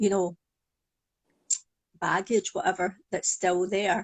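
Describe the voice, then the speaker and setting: A woman speaks at a fairly slow pace in a Glaswegian accent. The sound is dry and close, with no echo. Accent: Glaswegian Scottish. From Scotland, Glasgow. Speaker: psychologist and hypnotherapist. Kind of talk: interview.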